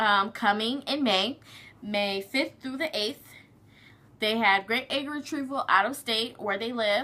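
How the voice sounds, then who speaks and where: Her bright, sharp tone sits at a fairly high pitch for a woman, with ordinary pitch variation and a fairly slow pace. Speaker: surrogate mother vlogger. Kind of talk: casual vlog update.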